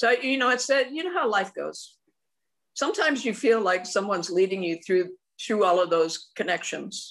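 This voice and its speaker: A woman with an American accent talks at a moderate pace and medium pitch with lively intonation, in a plain, everyday voice. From US West (rural Oregon). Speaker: martial arts grandmaster. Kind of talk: interview.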